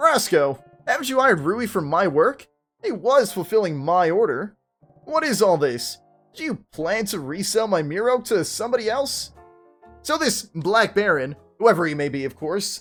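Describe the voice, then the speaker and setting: Doing a put-on character voice, a man projects loudly at a high pitch with very wide pitch swings, moderate pace, and faint music in the background. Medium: game stream. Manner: suspicious, curt.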